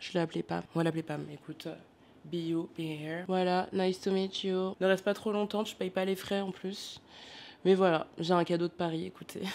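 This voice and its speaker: A woman of medium pitch speaks at a moderate pace in a monotone, flat intonation, captured in a very clean recording with a silent background. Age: 20s. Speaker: vlogger. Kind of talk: casual vlog.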